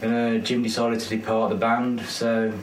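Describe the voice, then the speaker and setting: There is noticeable background noise behind the speaker. He is a man with a medium-pitched voice. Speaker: band vocalist and bassist. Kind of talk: casual interview chat. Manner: relaxed, chatty, jokey.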